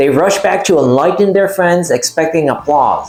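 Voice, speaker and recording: Noticeable background noise sits behind the recording. The man's pitch is high. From Puerto Rico. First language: Spanish. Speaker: YouTuber, artist and tarot commentator. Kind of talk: personal video essay.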